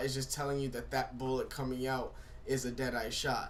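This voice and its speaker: Audible room echo around a man at medium pitch, talking at a fairly quick pace. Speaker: gaming YouTuber. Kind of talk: gameplay commentary. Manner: halting, many fillers.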